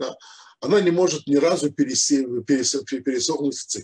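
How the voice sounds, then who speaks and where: A man's somewhat breathy voice with ordinary pitch variation. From Ukraine, Odessa; Ukraine. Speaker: rabbi, Torah teacher; rabbi teaching Torah. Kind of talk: religious lecture. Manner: hesitant, many filler sounds. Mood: calm explanatory. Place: home room. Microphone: video call.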